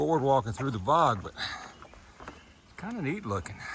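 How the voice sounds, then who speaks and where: A man with a North Carolina accent at a fairly slow pace, amid noticeable background noise and audible room echo. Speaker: hiking vlogger. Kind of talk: casual vlog narration. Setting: outdoors on trail.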